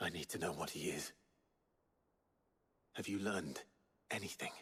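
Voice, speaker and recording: Using a put-on character voice, a man speaks raspily at a moderate pace with a fairly low pitch. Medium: video game. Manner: terse, low-key.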